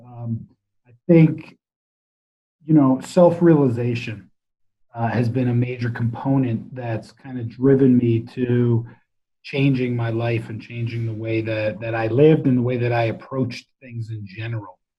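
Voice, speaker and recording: A man with an American accent at medium pitch and a moderate pace, somewhat breathy, with fairly even intonation. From US Northeast, New Jersey. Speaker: entrepreneur and coach. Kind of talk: interview conversation. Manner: direct.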